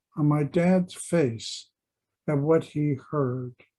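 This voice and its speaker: A man with an American accent speaks in a dark, mellow, somewhat breathy tone. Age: 80s+. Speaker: memoirist. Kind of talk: reading aloud.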